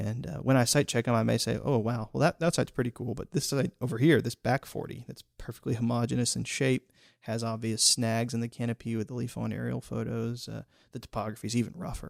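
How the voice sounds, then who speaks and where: Vocal fry runs through a man's very fast speech. The sound is dry and close, with no echo. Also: medium pitch for a man. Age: young. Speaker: amateur botanist. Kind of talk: interview. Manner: animated.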